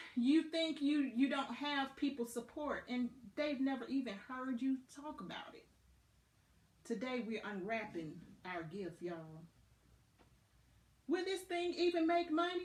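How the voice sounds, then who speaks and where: In a Southern US accent, a woman talks in a high pitch with very wide pitch swings, big swings in loudness, and long, frequent pauses. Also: fairly slow pace. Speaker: motivational podcast host. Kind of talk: motivational talk. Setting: Facebook live video. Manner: animated.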